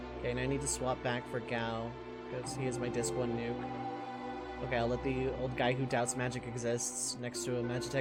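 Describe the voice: Reading aloud, plain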